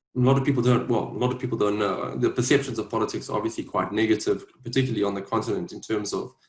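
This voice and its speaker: With a South African accent, a man at medium pitch talks at a very fast pace with hardly any pauses, sounding somewhat breathy, his intonation fairly even. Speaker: policy advisor and politician. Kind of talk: mentorship panel talk. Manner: hesitant, many fillers.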